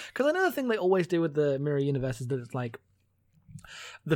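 Recorded very cleanly against a silent background, a man with a British accent talks very fast at a fairly high pitch. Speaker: podcast co-host. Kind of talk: casual chat.

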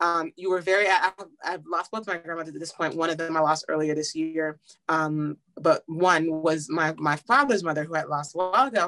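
A woman's fairly low-pitched voice with an American accent, bright and sharp in tone, at a moderate pace with ordinary pitch variation, in a dry, close sound with no echo. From Washington DC. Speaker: musical theatre actress. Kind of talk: casual chat.

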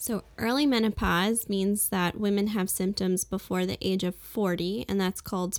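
With an American accent, a woman uses an ordinary speaking voice at medium pitch, speaking at a moderate pace with fairly even intonation in a very clean recording with a silent background. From US Northeast, Brooklyn, New York. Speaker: physician. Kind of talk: interview.

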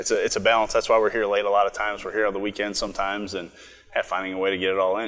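With an American accent, a man speaks at a very fast pace in a fairly low, monotone, flat voice. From Minnesota, Twin Cities. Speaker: brewery owner and brewer. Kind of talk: interview. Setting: brewery.

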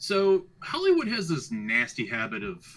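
The man's voice has vocal fry. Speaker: podcast host. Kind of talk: casual chat.

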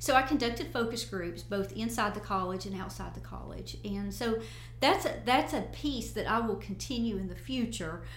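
The pace is moderate. Noticeable background noise and audible room echo surround the voice. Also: woman. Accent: Appalachian. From US South, Northeast Tennessee. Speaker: college president. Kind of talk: interview. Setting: studio.

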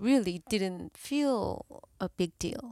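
A woman speaks at a very slow pace with a Korean accent. The recording is very clean, with a silent background. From South Korea. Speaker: therapist. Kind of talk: casual chat.

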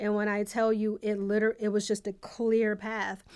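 An ordinary speaking voice with an American accent moves at a moderate pace. The recording is very clean, with a silent background. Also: woman. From Buffalo, New York, US. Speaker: judge. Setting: studio.

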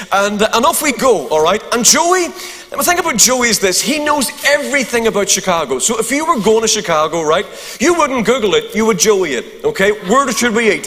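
Amid noticeable background noise, a man speaks in an extremely high pitch with very wide pitch swings. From Northern Ireland. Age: 50s. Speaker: preacher. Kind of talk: sermon. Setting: church. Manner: humorous.

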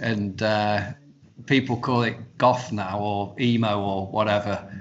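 A man speaks at a very slow pace. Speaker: band insider, zine writer, website runner. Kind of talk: casual interview chat.

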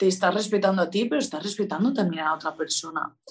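A woman speaks at a medium pitch with lively intonation. Hers is an unremarkable speaking voice. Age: young. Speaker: artist and entrepreneur. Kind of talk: casual chat.

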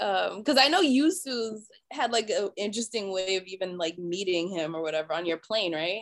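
With an American accent, a woman talks at a fairly quick pace in a medium pitch, her intonation lively. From Boston area. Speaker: podcast host. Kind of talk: casual chat. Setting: outdoors.

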